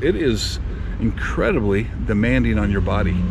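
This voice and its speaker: A man's voice comes with audible room echo. Noticeable background noise is present too. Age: 50s. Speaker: mountain bike vlogger. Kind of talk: post-ride vlog review. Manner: casual with fillers.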